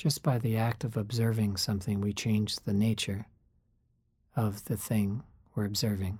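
Over a very clean recording with a silent background, a man speaks at a moderate pace in a fairly low pitch with a dark, mellow, somewhat breathy tone. His loudness stays very even, his intonation fairly even, and he takes long, frequent pauses. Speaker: meditation guide. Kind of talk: guided meditation, calm and instructive. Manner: reflective, conversational.

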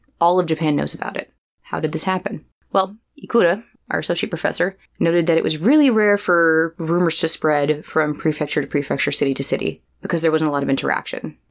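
A woman at a very fast pace, with ordinary pitch variation. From US, raised in a Japanese household. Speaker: podcast co-host. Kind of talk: storytelling. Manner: animated.

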